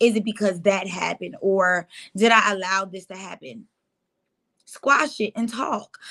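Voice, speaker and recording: This woman speaks fairly slowly at a medium pitch, her bright, sharp tone carrying vocal fry, ordinary pitch variation and big swings in loudness. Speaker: divorce talk show host. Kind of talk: motivational talk.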